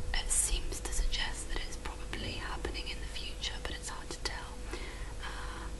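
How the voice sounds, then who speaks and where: Soft-spoken words come at a moderate pace in a British accent. Noticeable background noise runs underneath. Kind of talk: ASMR palm reading roleplay. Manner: soft-spoken, reassuring.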